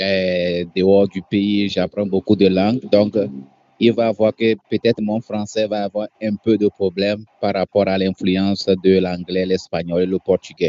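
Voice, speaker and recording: A man with a fairly low voice speaks fairly slowly in a flat, monotone delivery. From Togo. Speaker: guest speaker on working abroad. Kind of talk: webinar presentation. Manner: hesitant, frequent 'euh' fillers.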